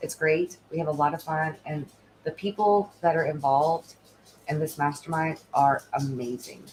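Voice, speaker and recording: A woman's fairly low-pitched voice comes out somewhat breathy. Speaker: stand-in livestream host, tech assistant. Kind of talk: live stream Q&A and pitch. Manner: fast when excited; animated.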